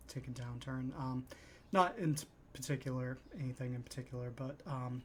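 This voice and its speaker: A man with a medium pitch and a somewhat breathy voice talks at a fairly slow pace. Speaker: stock investing YouTuber. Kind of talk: casual talk to camera. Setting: at home. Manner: soft; halting, many fillers.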